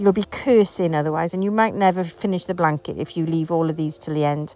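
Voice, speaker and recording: A woman with an English accent talks at a very fast pace. Her voice has a fairly low pitch, a dark, mellow tone and ordinary pitch variation. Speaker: crochet teacher. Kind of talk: tutorial. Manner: casual, hesitant with fillers.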